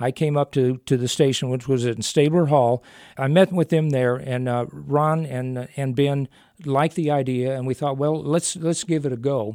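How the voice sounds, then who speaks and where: A man speaks with an American accent in a dark, mellow tone. The sound is dry and close, with no echo. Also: medium pitch for a man, fairly even intonation, moderate pace. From US Midwest, Illinois. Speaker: radio program host. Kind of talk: interview. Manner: halting.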